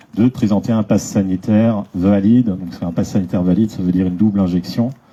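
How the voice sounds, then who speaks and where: A man's fairly low-pitched voice proceeds at a moderate pace. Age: 40s. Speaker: association vice-president. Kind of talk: public speech. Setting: association gathering with audience. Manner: hesitant, many fillers.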